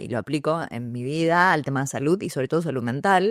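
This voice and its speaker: A woman with a Rioplatense accent and a very deep, low voice talks at a fairly quick pace in a very clean, dry, close recording with a silent background and no echo. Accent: Argentine Rioplatense Spanish. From Argentina, San Pedro, Buenos Aires province. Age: 40s. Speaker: journalist, radio announcer and communication coach. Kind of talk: podcast interview.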